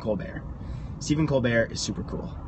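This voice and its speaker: A man speaks fairly quickly with ordinary pitch variation, the sound dry with no echo but with noticeable background noise. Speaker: livestreamer. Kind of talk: casual vlog chat. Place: car. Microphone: phone near.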